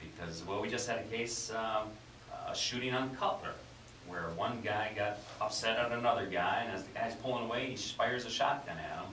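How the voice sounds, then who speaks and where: A man with an American accent at medium pitch and a fairly quick pace, ordinary pitch variation, amid noticeable background noise and audible room echo. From Wisconsin. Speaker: police chief. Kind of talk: radio interview. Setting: radio studio.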